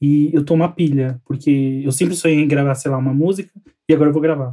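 Fast-talking at a very fast pace, a man has a dark, mellow tone and a fairly high pitch. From São Paulo outskirts, Brazil. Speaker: podcast co-host. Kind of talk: casual chat.

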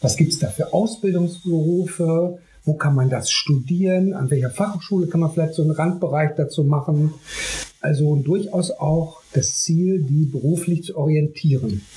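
Pitch varies in an ordinary way at a moderate pace. Noticeable background noise is present. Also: man, fairly high pitch for a man. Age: 50s. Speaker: artist and youth project founder. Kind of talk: interview.

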